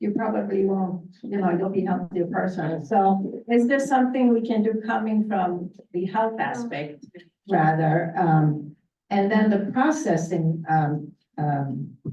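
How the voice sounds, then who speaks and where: Fairly slow and somewhat breathy, a woman's medium-pitched voice carries lively intonation. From Sweden. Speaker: county legislator. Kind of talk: panel discussion.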